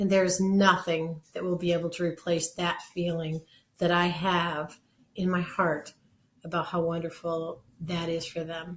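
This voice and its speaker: A woman speaks at a fairly slow pace in a flat, monotone delivery, her voice somewhat breathy. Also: fairly low pitch for a woman. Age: 60s. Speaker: kidney donor. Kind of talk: personal testimony.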